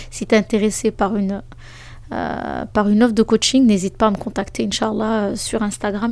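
A woman talks at a moderate pace with a fairly high pitch. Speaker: life coach and podcast host. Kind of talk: solo podcast monologue with advice. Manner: lively and spontaneous.

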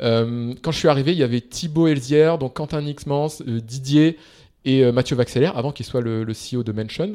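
A man with a dark, mellow tone and ordinary pitch variation is captured in a very clean recording with a silent background. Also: medium pitch for a man, moderate pace. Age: 30s. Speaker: startup investor and founder. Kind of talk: interview. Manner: hesitant, many fillers.

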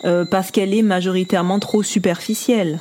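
A woman's medium-pitched voice, fairly even in intonation, over noticeable background noise. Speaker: podcast co-host. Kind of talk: casual chat. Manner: halting.

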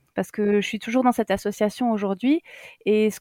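Recorded with a dry, close sound and no echo, a woman speaks at a moderate pace in a medium pitch with fairly even intonation. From Alsace, Strasbourg suburbs. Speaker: primary school teacher and headteacher. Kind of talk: casual interview chat.

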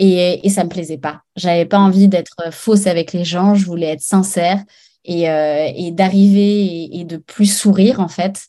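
A woman speaks at a fairly slow pace in a dark, mellow tone, her medium pitch and fairly even intonation set against a quiet background. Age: 30s. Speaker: former radio host, interior decorator. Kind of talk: interview. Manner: halting, many fillers and repetitions.

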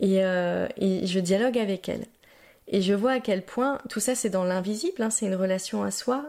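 A woman speaks at medium pitch and a moderate pace with ordinary pitch variation and a dark, mellow tone. The recording is very clean, with a silent background. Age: 30s. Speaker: podcast host and personal development coach. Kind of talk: solo podcast monologue.

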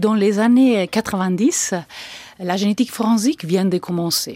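Recorded very cleanly over a silent background, a woman speaks with ordinary pitch variation in a dry, close sound with no echo. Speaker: forensic genetics researcher. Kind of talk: expert interview answers.

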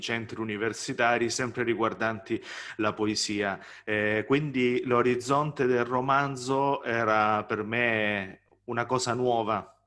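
A man's bright, sharp voice at a very slow pace, with fairly even intonation. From southern Italy, Salento near Gallipoli. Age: 30s. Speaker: novelist and poet. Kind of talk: author interview. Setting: video call.

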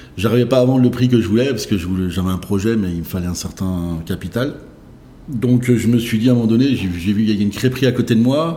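This man talks at a very fast pace with a medium pitch and ordinary pitch variation. His tone is dark and mellow, and somewhat breathy. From Brittany, France (Saint-Brieuc). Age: 40s. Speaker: fast-food chain founder. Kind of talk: interview. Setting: restaurant. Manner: halting, many fillers.

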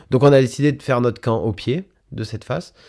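Very clean audio with a silent background carries a man's voice. He talks at a moderate pace with ordinary pitch variation. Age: 30s. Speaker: mountain guide and alpinist. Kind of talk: personal account interview. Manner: halting, many fillers.

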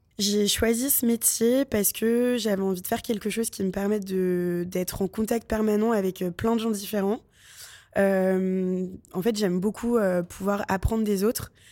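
A woman's dark, mellow voice at medium pitch, fairly slow in pace, with very even loudness, fairly even intonation, and a very clean recording with a silent background. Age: 20s. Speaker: junior advertising project manager. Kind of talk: interview.

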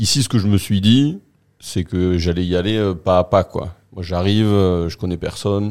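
This man has a very deep, low pitch and a dark, mellow tone, speaking at a fairly slow pace with fairly even intonation. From northern France, raised in Marseille. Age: 40s.

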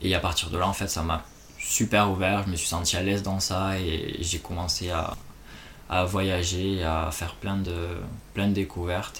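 Very deep and low, the man's voice stays monotone and flat, broken by long, frequent pauses. Room echo is audible. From France, Toulouse. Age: 20s. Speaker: expatriate travel worker. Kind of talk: casual interview.

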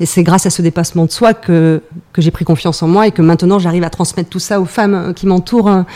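A woman speaks at a fairly quick pace. Her voice is fairly low in pitch, with a dark, mellow tone. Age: 40s. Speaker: former police officer, sports event organizer. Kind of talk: casual chat.

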